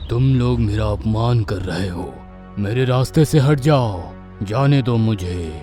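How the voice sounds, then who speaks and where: A man's cartoonish character voice, fairly low in pitch with very wide pitch swings, at a moderate pace over clear music in the background. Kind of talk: cartoon villain incantation. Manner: commanding.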